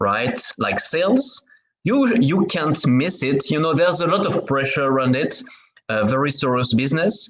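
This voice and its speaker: A man with a French accent speaks at a moderate pace in a fairly high pitch, his loudness very even. His pitch swings very widely, and room echo is audible. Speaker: podcast host. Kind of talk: interview conversation. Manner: halting.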